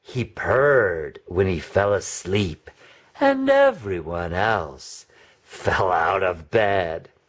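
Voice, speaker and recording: The voice is low in pitch and moves at a very slow pace. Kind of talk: children's read-aloud. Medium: read story. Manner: animated, questioning.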